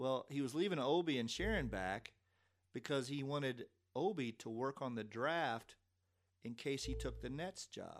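A man with a Kentucky accent talks at medium pitch and a moderate pace with lively intonation. The recording is very clean and the background silent. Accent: Kentucky Southern US. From Lexington, Kentucky. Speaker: former sports information director. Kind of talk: casual interview storytelling.

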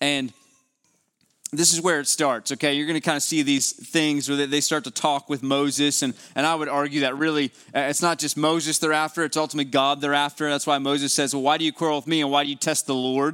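Very fast, monotone, flat speech from a man with a West Virginia accent and fairly high pitch, music in the background. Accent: West Virginian Appalachian. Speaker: preacher. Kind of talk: sermon. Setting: church with congregation.

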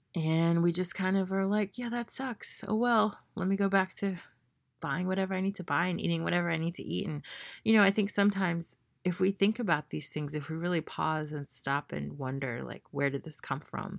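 A woman with an American accent speaks at a fairly quick pace in an ordinary speaking voice, fairly low in pitch, on a very clean recording with a silent background and a dry, close sound with no echo. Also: ordinary pitch variation. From Memphis, Tennessee, US South. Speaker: podcast host. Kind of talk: solo monologue. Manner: casual with fillers.

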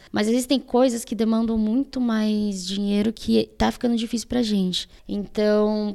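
With hardly any pauses, a woman speaks at a fairly slow pace in a fairly high pitch, her tone dark and mellow and her intonation monotone and flat. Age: 20s. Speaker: student athletics association president. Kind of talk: casual interview. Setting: in-person studio interview.

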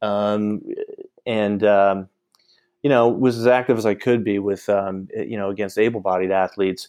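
An unremarkable speaking voice in an American accent, at a moderate pace with fairly even intonation. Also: man, fairly low pitch for a man. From US Northeast (Syracuse, New York). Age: 40s. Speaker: attorney. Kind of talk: interview.

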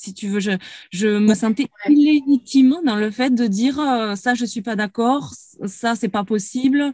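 Dark and mellow in tone, a woman speaks fairly slowly at a fairly high pitch with ordinary pitch variation, the sound dry and close with no echo. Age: 30s. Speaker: former coaching client. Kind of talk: interview. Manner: halting.

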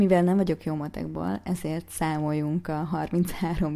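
At a very slow pace, a woman speaks in a fairly low pitch with a dark, mellow tone, captured in a very clean recording with a silent background. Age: 30s. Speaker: fitness coach and podcaster. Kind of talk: motivational monologue.

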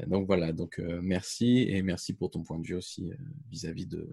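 His voice is very deep and low, with a dark, mellow tone. The man's intonation is lively. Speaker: podcaster, co-host. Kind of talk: casual interview.

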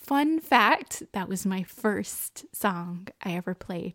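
A woman speaks with a slight Texan accent. The recording is very clean, with a silent background and a dry, close sound with no echo. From Texas. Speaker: podcast host.

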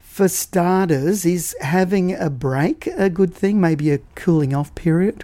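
The delivery is very slow, yet there are hardly any pauses. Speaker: radio host. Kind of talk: radio interview.

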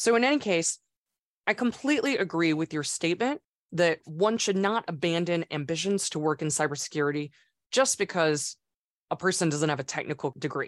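An unremarkable speaking voice: a woman at fairly low pitch with lively intonation and a fairly quick pace. The sound is dry and close with no echo, over a quiet background. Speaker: podcast host. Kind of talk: podcast interview.

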